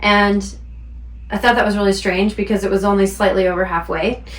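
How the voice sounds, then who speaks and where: A woman at medium pitch amid noticeable background noise. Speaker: spiritual teacher, intuitive practitioner. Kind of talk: spiritual talk to camera. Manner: unpolished, stumbling.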